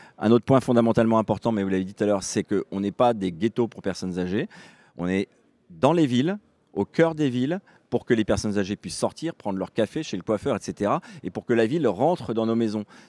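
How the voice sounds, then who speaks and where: Talking at a fairly quick pace, a man uses lively intonation at a medium pitch in a very clean recording with a silent background. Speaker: housing organisation representative. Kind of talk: panel discussion. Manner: talkative, with fillers and restarts.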